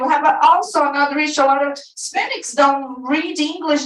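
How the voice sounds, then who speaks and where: With a strong Brazilian accent, a woman talks at a fairly quick pace and high pitch, over noticeable background noise and audible room echo. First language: Portuguese. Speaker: activist group leader and teacher. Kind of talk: public comment at a school board meeting. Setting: board meeting room with audience. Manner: halting.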